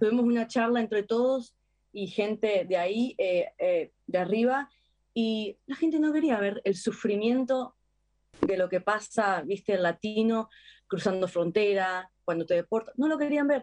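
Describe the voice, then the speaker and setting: At a fairly slow pace, a woman with an unremarkable speaking voice talks at a fairly high pitch with lively intonation. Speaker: actress. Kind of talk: interview.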